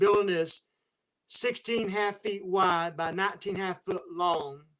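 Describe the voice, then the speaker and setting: A high-pitched man's voice with an American accent. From US South, Waycross, Georgia area. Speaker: train spotting YouTuber. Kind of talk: casual livestream chat. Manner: halting.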